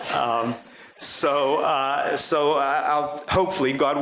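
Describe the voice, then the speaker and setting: A man's ordinary pitch variation comes through over noticeable background noise. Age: 60s. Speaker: sheriff. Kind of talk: speech to a club audience. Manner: halting, many fillers.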